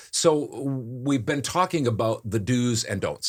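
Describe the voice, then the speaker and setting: A man at a fairly slow pace with a Midwestern American accent, on a very clean recording with a silent background. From US Midwest. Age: 60s. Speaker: voice actor and podcast host, former radio broadcaster. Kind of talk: casual podcast talk.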